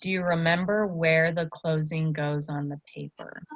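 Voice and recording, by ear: A woman's low-pitched voice at a moderate pace, with fairly even intonation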